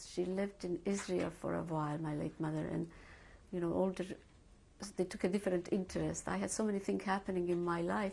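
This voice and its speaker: A woman speaks with a Hungarian accent. Her pace is fairly quick. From Hungary. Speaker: Holocaust survivor. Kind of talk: oral history interview. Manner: hesitant, with many fillers.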